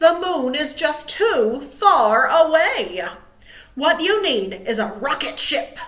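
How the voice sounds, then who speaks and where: A woman puts on a character voice, high in pitch and very slow. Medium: read story.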